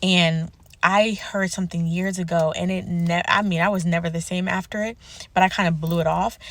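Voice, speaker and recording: A somewhat breathy woman's voice, fairly low in pitch, at a moderate pace, on a very clean recording with a silent background. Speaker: self-help vlogger. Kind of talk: personal vlog monologue.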